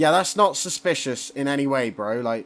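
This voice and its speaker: At a moderate pace, the speaker's pitch swings very widely. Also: man. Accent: West Country. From Somerset, England. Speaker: gaming YouTuber. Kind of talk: gameplay commentary. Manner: mumbling; casual, rambling with fillers.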